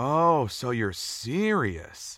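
A man uses a put-on character voice with big pitch swings and a fairly bright tone, speaking at a very slow pace on a very clean recording with a silent background. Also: medium pitch for a man.

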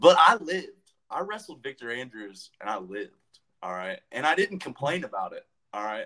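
Talking at a fairly quick pace, a man lets his loudness swing widely. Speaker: wrestler. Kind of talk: casual chat. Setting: video call. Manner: warm, affectionate.

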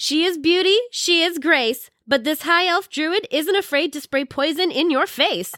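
With a raised, projected voice at an extremely high pitch, a woman talks at a fairly slow pace with hardly any pauses, ordinary pitch variation and a bright, sharp tone. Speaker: co-announcer. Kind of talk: live sports commentary. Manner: animated.

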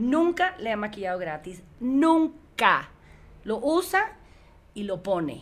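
This woman talks at a very slow pace with very wide pitch swings. Her pitch is fairly high. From United States, Cuban parents. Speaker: entrepreneur. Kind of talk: casual interview. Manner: code-switching Spanish and English; halting.

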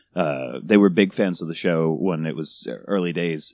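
In an American accent, a man with a very deep, low pitch and vocal fry speaks with fairly even intonation, his sound dry and close with no echo on a very clean recording with a silent background. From New York City. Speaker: cake sculptor on a reality TV show. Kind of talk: casual chat.

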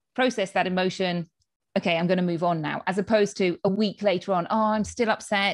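A woman with a British accent at a fairly quick pace, her intonation fairly even, over a quiet background. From United Kingdom. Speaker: pediatrician and health coach. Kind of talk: interview.

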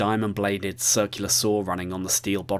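The text is read aloud. It comes in a natural voice.

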